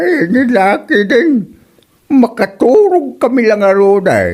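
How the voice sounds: Slow and slightly mellow, this is a put-on character voice. The pitch swings very widely.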